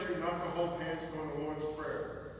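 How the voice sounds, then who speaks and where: A man's high-pitched voice at a moderate pace, with strong room echo and light background noise. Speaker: church announcer at lectern. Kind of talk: formal announcements. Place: church.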